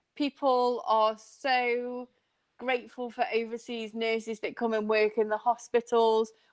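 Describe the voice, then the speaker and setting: Speaking in a northern English accent, a woman with a fairly high pitch uses monotone, flat intonation, recorded with a dry, close sound, no echo and a quiet background. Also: fairly slow pace. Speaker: nurse recruitment manager. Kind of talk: interview answers.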